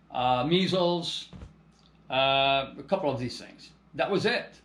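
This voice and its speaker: Audible room echo hangs around the voice. The man talks at a very slow pace. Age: 60s. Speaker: landscape contractor and organic soil business owner. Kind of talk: casual monologue to camera. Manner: halting, many repetitions and fillers.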